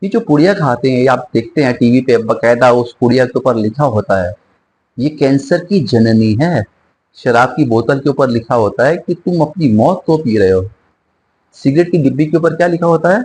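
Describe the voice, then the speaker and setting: Intonation here is lively. There is a somewhat breathy quality to the voice. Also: man, medium pitch for a man. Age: 60s. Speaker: singer and spiritual speaker. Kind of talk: interview.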